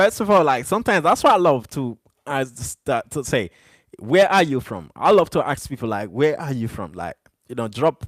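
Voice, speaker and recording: An animated tone with very wide pitch swings comes across in a dry, close sound with no echo, on a very clean recording with a silent background. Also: man, fairly high pitch for a man. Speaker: livestreamer. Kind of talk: livestream chat. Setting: live stream. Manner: fast.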